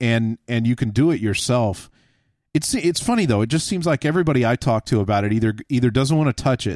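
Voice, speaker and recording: In a dry, close sound with no echo, a man with an ordinary speaking voice and a medium pitch talks at a fairly quick pace with lively intonation. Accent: American. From Texas. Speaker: podcast host on tools. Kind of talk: casual chat.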